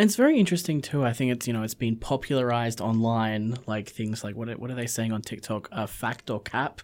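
In an Australian accent, the speaker moves at a fairly quick pace with hardly any pauses. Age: 20s. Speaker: community radio host. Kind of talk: radio interview; scripted intro.

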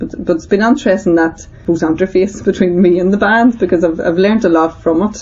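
A woman with a Northern Irish accent talks at a fairly quick pace with hardly any pauses. Her medium pitch varies in an ordinary way over noticeable background noise. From Northern Ireland. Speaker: community centre director. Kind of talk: interview testimony.

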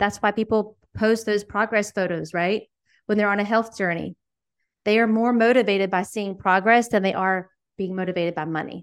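A normal speaking voice holds fairly even intonation at a moderate pace, and the recording is very clean with a silent background. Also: woman, medium pitch for a woman. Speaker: coach and entrepreneur. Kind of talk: casual interview conversation.

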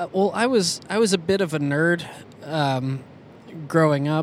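A man with an American accent, fairly high in pitch with ordinary pitch variation, at a fairly slow pace over noticeable background noise. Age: 30s. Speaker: musician and podcast co-host. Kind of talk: interview. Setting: in a car.

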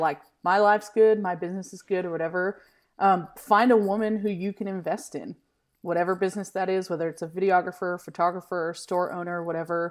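A plain, everyday voice: a woman at a medium pitch with ordinary pitch variation and a fairly quick pace, on a very clean recording with a silent background. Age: 30s. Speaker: filmmaker and pastor. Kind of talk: casual interview.

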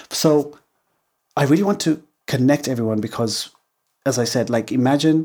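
A man speaks with a dark, mellow tone and ordinary pitch variation in a very clean recording with a silent background. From Zimbabwe, Harare. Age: 40s. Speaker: podcast host and brand founder. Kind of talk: solo podcast monologue.

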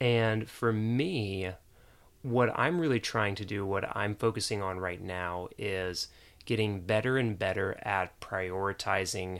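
An ordinary speaking voice comes from a man with an American accent and ordinary pitch variation. The recording is very clean, with a silent background. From US South, Jacksonville, Florida. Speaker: productivity teacher. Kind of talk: casual interview.

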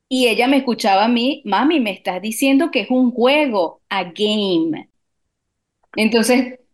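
A woman with a plain, everyday voice talks at a fairly slow pace, fairly high in pitch with ordinary variation, over a quiet background. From Latin America. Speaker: radio producer. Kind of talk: radio talk show.

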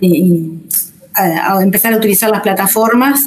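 With noticeable background noise around her, a woman speaks at a medium pitch with ordinary pitch variation. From Uruguay, Rocha. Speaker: English teacher. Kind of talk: interview. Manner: halting.

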